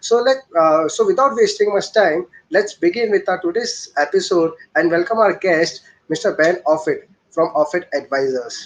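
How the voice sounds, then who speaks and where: With an Indian accent, a man uses a high voice and lively intonation at a very even loudness. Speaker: show host. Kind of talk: interview. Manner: fast.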